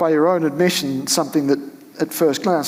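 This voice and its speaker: A man talking at a very fast pace with ordinary pitch variation over noticeable background noise. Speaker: interviewer. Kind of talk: interview questions.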